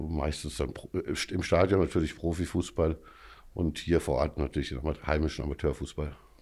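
Vocal fry runs through this voice, delivered at a moderate pace with fairly even intonation. The recording is very clean, with a silent background. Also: man, very deep, low pitch for a man. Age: 50s. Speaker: amateur football club official. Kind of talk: podcast interview.

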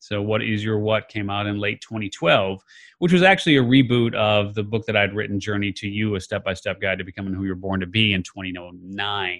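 A man with an ordinary speaking voice talks at a fairly quick pace in a fairly low pitch, with hardly any pauses. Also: fairly even intonation. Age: 50s. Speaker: author and podcast host. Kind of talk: interview.

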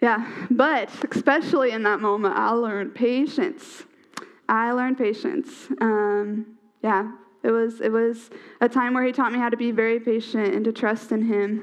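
An ordinary speaking voice delivers the words at a moderate pace. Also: woman, fairly high pitch for a woman, ordinary pitch variation. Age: 20s. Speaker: preacher. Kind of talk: sermon.

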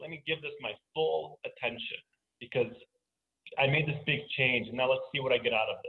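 The speech moves at a moderate pace. Its loudness swings widely. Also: man. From Bronx, New York (born in Russia). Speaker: physician and networking guest. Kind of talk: casual interview.

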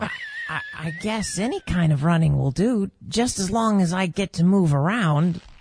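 A female-sounding put-on character voice at middle pitch runs at a moderate pace with hardly any pauses. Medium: audio drama. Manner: hesitant, stammering, wondering.

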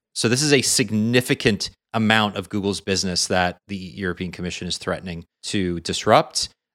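Recorded very cleanly against a silent background, with a dry, close sound and no echo, a man speaks in a bright, sharp tone at a fairly low pitch with ordinary pitch variation. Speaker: tech podcast host. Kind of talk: casual chat.

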